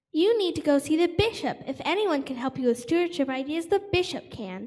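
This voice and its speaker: A high-pitched, put-on character voice delivered at a fairly quick pace. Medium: stage play.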